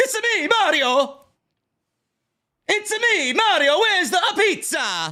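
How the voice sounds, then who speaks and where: In a put-on character voice of extremely high pitch, the speech goes at a fairly slow pace with long, frequent pauses. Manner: bouncy, cartoonish.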